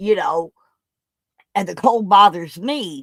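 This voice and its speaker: Speaking at a very slow pace, a woman uses a medium pitch with very wide pitch swings. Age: 60s. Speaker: veterans event organizer. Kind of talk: casual chat.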